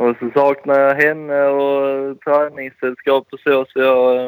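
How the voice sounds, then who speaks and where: In a dry, close sound with no echo, a man speaks at a fairly high pitch in a monotone, flat intonation. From southern Sweden, Skåne (near Landskrona). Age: 20s. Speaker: motocross rider. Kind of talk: casual chat.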